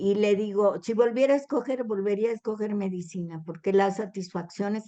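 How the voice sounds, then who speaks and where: At a moderate pace, a woman speaks in a medium pitch with a dark, mellow tone and ordinary pitch variation. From Mexico, southern Veracruz. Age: 70s. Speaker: retired doctor and novelist. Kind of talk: interview.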